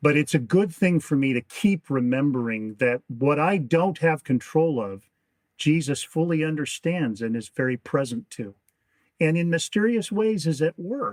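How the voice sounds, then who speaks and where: With an ordinary speaking voice, a man talks at a moderate pace in a fairly high pitch with lively intonation. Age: 60s. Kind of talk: interview.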